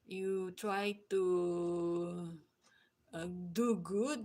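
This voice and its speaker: A woman with a non-native accent. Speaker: YouTuber. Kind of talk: live stream chat. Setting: live stream. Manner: halting, many fillers.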